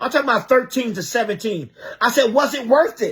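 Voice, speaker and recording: A man's animated voice moves along at a fairly quick pace. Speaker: bishop and preacher. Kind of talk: live-stream sermon.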